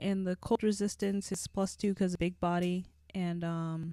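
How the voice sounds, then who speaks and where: A woman's fairly slow, monotone voice, flat in intonation, dark and mellow in tone, at medium pitch. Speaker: gaming commentator. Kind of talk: let's play commentary. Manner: halting.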